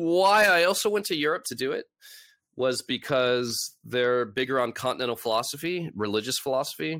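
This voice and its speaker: A man with a Californian accent speaks at a medium pitch in a bright, sharp tone and lively intonation, in a very clean recording with a silent background. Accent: Californian American. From Los Angeles. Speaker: author and occult lecturer. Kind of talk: interview.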